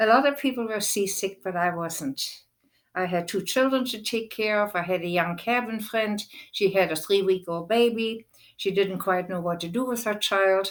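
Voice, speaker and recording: A woman with a German accent speaks at a moderate pace and a medium pitch, her pitch varying in an ordinary way, on a very clean recording with a silent background. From Germany (Berlin). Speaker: war survivor recounting memories. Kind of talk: personal testimony.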